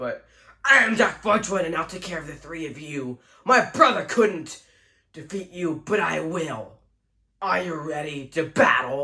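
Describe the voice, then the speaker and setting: This put-on character voice sounds strained, with lively intonation and big swings in loudness. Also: man, fairly high pitch for a man, moderate pace. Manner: crazy, strained.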